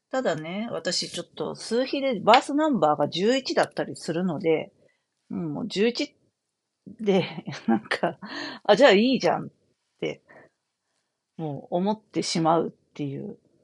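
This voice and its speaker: A woman talks fairly slowly in a medium-pitched voice with vocal fry, leaving long, frequent pauses. Her pitch swings very widely and her loudness rises and falls sharply. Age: 40s. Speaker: astrologer and fortune teller. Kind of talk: solo talk show monologue. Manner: casual with many filler words.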